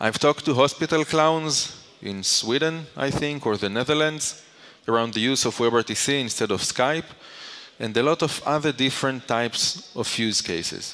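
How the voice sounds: Speaking at a moderate pace, a man uses a medium pitch and a fairly bright tone, with ordinary pitch variation.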